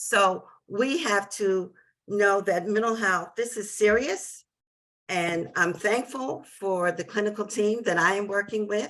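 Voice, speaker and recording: A woman with an American accent speaks at a fairly slow pace and medium pitch with ordinary pitch variation, in an unremarkable speaking voice. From New Jersey. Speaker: parent advocate. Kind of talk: webinar testimony.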